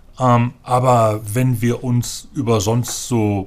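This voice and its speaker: A somewhat breathy voice is captured on a very clean recording with a silent background. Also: man. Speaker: parliamentary group manager. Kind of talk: casual chat.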